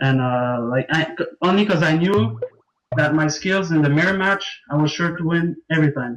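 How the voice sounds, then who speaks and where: A man with a French Canadian accent talks at a moderate pace in a fairly high voice with ordinary pitch variation. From Quebec, Canada (Montreal). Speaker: competitive card game player. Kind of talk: casual interview. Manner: hesitant, many fillers.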